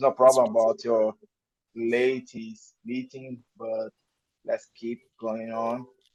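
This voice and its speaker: In a dry, close sound with no echo, a man with a strong non-native accent speaks at a very slow pace with long, frequent pauses, a medium pitch, fairly even intonation, and big swings in loudness. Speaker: music interviewer. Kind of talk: interview.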